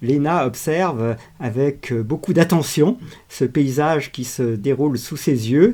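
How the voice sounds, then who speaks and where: A man's fairly high, dark, mellow voice at a very slow pace, with ordinary pitch variation, in a very clean recording over a silent background. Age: 70s. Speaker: video channel host. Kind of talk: reflective monologue. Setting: outdoors on a walk. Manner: hesitant with frequent fillers.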